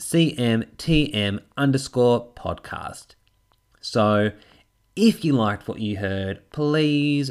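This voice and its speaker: An animated man with an Australian accent and ordinary pitch variation, on a very clean recording with a silent background. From Tasmania, Australia. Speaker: podcast host and public speaking coach. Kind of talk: solo podcast monologue.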